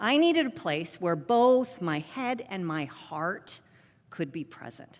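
Very wide pitch swings and big swings in loudness at a very slow pace. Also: woman, medium pitch for a woman. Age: 60s. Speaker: pastor. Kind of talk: sermon. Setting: church.

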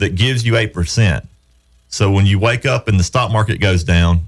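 A man with a Southern US accent talks at a fairly low pitch and moderate pace, with ordinary pitch variation and vocal fry. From upstate South Carolina, Southern US. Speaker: radio show host, real estate investor. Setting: radio studio.

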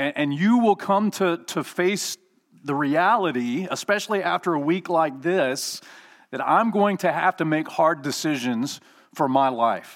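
A man speaks at a fairly slow pace, his pitch fairly high and his intonation lively. The recording is very clean, with a silent background. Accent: Alabama. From Alabama. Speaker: guest preacher. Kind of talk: sermon.

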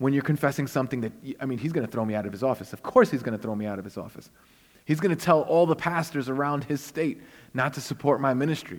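A man with a Brooklyn accent speaks at a fairly high pitch with lively intonation. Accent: New York (Brooklyn). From Brooklyn, New York (Puerto Rican family). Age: 40s. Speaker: guest preacher. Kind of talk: sermon.

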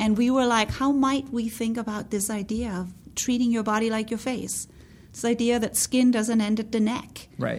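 A woman's somewhat breathy, fairly high voice at a moderate pace, with monotone, flat intonation. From Denmark. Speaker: beauty brand founder and CEO. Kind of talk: interview.

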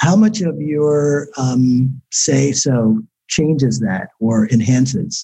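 Very slow and somewhat breathy, a man with an American accent speaks in a dark, mellow tone with lively intonation and very even loudness. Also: medium pitch for a man. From Newark, New Jersey. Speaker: podcast host. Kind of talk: interview.

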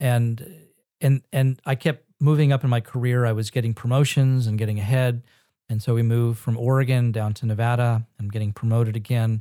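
With a fairly quick pace and fairly even intonation, the voice has a dark, mellow tone and an American accent in a dry, close sound with no echo. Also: man. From Northern California and Israel. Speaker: pastor and ministry founder. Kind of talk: casual interview.

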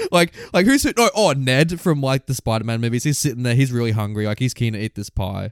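With an Australian accent, a man rattles along at a very fast pace with hardly any pauses and lively intonation, the sound dry and close with no echo. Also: medium pitch for a man. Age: 20s. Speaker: film podcast co-host. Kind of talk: casual chat.

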